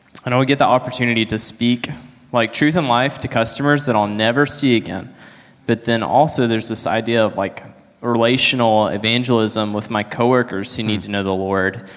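With fairly even intonation, a man talks at a fairly quick pace in a normal speaking voice at medium pitch. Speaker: church member giving testimony. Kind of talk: testimony.

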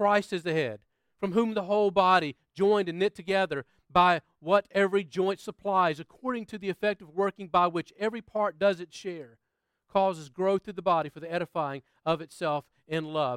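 Using an American accent, a man with a high pitch and ordinary pitch variation talks at a moderate pace, his loudness swinging widely, in a dry, close sound with no echo. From United States. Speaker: pastor. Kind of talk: sermon. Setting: church.

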